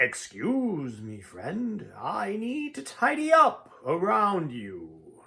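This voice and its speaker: Putting on a character voice, a man speaks very slowly in a raspy, high-pitched tone. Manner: polite.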